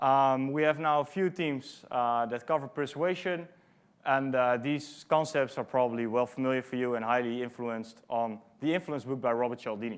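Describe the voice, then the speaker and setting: A man speaks at medium pitch with a Dutch accent and ordinary pitch variation. His pace is moderate and the background is quiet. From Netherlands. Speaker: conference speaker, product manager. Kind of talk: conference talk. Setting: stage with audience. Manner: frequent fillers (um, uh).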